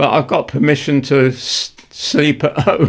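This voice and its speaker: A man is speaking. He has an English accent. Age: 80s+. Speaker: war veteran; retired journalist. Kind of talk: interview answer.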